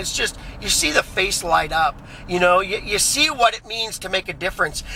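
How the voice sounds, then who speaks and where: Over noticeable background noise, a man talks loudly at a fairly quick pace in a high voice with an animated tone. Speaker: vlogger. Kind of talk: casual vlog monologue. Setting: in a car.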